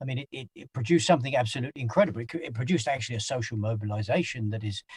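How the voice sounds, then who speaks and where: A man talks at a very fast pace in a somewhat breathy voice, with a dry, close sound and no echo. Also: medium pitch for a man, ordinary pitch variation, big swings in loudness. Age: 60s. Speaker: anti-poverty organizer. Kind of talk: interview. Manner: halting, many repeated words.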